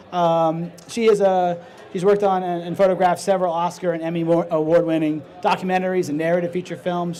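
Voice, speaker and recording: A man's high-pitched voice at a fairly quick pace. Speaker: panel moderator. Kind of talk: panel introductions. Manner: fast; halting, many fillers and restarts.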